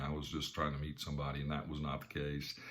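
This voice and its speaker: Audible room echo surrounds a man with a Southern US accent talking at a very fast pace. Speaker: business coach and speaker. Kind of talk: talk to camera with personal story. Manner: casual, conversational with fillers.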